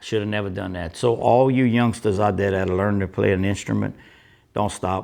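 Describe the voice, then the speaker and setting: Here is a man with an ordinary speaking voice, a fairly low pitch and ordinary pitch variation. He moves at a fairly quick pace against a quiet background. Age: 60s. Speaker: musician. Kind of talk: interview.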